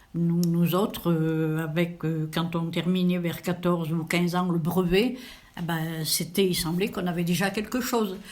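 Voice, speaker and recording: Heard with audible room echo, a woman of fairly low pitch speaks at a fairly slow pace, with ordinary pitch variation and very even loudness. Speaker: elderly interviewee. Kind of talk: interview. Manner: hesitant, many fillers.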